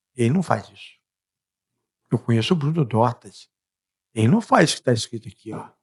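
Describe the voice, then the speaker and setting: A man's medium-pitched voice at a moderate pace, with lively intonation, long, frequent pauses, and a dry, close sound with no echo. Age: 60s. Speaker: freemason guest explaining freemasonry. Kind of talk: podcast interview. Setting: podcast studio. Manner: casual, repetitive conversational.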